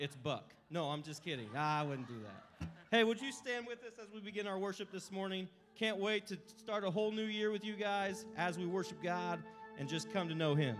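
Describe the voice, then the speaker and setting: A man talks at a moderate pace over clear background music. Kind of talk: casual congregation greeting. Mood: joking, upbeat. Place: church. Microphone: handheld.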